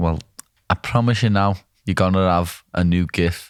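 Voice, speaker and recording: Very deep, low pitch from a man with a Liverpool accent, fairly even intonation, a moderate pace, and a very clean recording over a silent background. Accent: Liverpool (Scouse). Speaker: UFC fighter. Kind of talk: casual podcast talk.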